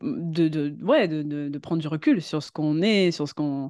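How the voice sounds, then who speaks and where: Pitched fairly low, a woman speaks at a moderate pace with ordinary pitch variation. The background is quiet. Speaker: web writer and voice-over actress. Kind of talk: casual chat. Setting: studio. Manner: halting.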